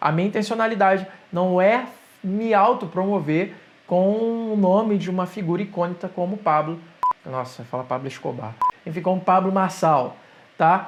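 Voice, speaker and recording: Pausing long and often, a man with a high pitch and ordinary pitch variation speaks at a moderate pace over noticeable background noise. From Rio de Janeiro, Brazil. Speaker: digital entrepreneur, YouTuber. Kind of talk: opinion monologue to camera.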